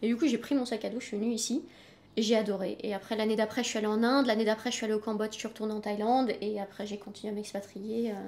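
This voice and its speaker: A woman's fairly high, monotone, flat voice at a very fast pace, over noticeable background noise. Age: 30s. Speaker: freelance French-as-foreign-language teacher. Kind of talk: interview. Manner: halting.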